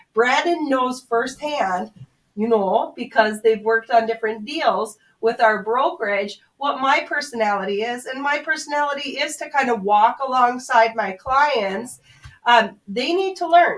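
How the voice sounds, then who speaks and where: Lively intonation from a high-pitched woman with a North Dakota accent, at a moderate pace. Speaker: commercial realtor. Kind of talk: radio interview advice.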